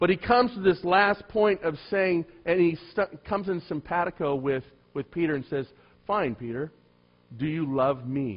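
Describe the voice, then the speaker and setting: An animated man speaks at a moderate pace with lively intonation. His voice sits high in pitch. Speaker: pastor. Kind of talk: sermon. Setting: church. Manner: animated, humorous.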